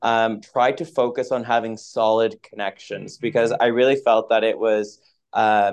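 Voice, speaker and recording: Speaking in a Maritime Canadian accent, a man keeps a medium pitch, fairly even intonation, and a fairly slow pace. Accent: Canadian (Maritimes). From Atlantic Canada, Moncton, New Brunswick. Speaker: finance professional. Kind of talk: interview.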